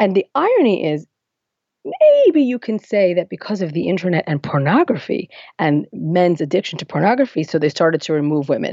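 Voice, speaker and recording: A woman with an American accent speaks at a fairly quick pace in a normal speaking voice. Her pitch is fairly low, and her intonation is lively. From US Northeast, Lakewood, New Jersey. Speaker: activist and writer. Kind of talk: interview conversation.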